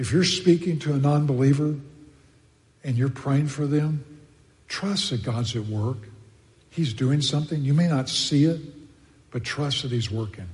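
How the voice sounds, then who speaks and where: With an American accent, a man with a fairly high pitch speaks at a moderate pace, somewhat breathy, with ordinary pitch variation, long, frequent pauses and audible room echo. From Texas. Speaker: pastor. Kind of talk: sermon.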